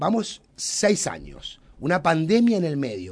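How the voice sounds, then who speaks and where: A man's dark, mellow voice, fairly high for a male, with very wide pitch swings and a fairly slow pace. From Uruguay. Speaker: radio host. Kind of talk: radio interview.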